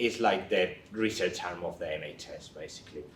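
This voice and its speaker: A man with a Spanish accent, fairly low in pitch, at a moderate pace, with audible room echo. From Spain. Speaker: research nurse. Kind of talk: career talk to young people. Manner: hesitant, with many fillers.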